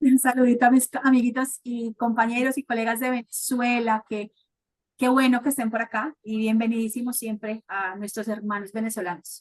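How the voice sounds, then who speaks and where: At a moderate pace, a woman speaks with fairly high pitch and monotone, flat intonation, the sound dry and close with no echo. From Colombia, Cali. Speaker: sterilization specialist speaker. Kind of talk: guest talk closing remarks.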